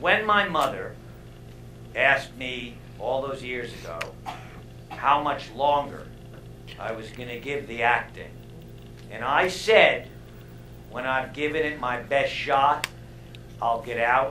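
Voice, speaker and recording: With light background noise and audible room echo, a man speaks at a very slow pace with ordinary pitch variation and long, frequent pauses. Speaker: stand-up comedian. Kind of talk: stand-up comedy monologue. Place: stage. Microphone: headset.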